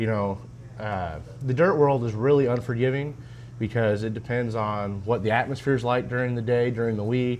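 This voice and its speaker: A man speaks at a moderate pace and medium pitch. His intonation is fairly even, with audible room echo. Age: 20s. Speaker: race car driver. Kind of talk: casual interview.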